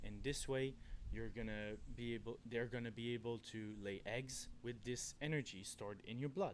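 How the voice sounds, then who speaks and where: A man with a Quebec accent and a medium pitch. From Quebec, Canada. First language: French. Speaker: forest worker and backpacker. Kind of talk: outdoor tutorial. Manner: halting, self-correcting.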